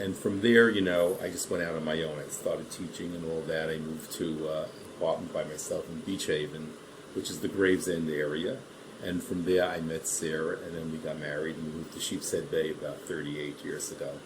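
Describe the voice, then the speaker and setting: A man with a Brooklyn accent speaks at a very deep, low pitch and with fairly even intonation. Noticeable background noise and audible room echo fill the recording. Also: fairly quick pace. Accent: New York (Brooklyn). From Brooklyn, New York. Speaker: retired teacher, oral history interviewee. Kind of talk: oral history interview. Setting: library.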